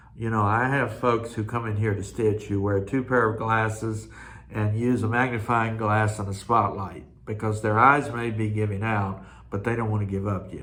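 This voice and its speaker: With a relaxed tone, a man speaks at a moderate pace and a fairly low pitch in monotone, flat intonation. Audible room echo surrounds his voice. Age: 60s. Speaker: cross stitch video host. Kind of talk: casual monologue. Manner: relaxed, with frequent fillers.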